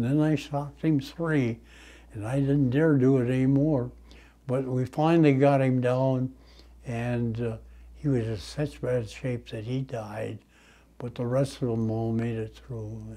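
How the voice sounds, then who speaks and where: With a dark, mellow tone, a man talks at a fairly slow pace in a fairly even intonation. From United States. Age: 80s+. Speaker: WWII tank veteran. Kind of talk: interview answer. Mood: somber recollection. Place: home room.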